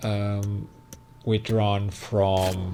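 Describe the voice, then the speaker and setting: The delivery is very slow, with a non-native accent. Intonation stays monotone and flat. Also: man. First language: not English. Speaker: gaming YouTuber. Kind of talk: gameplay commentary. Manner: halting, with fillers.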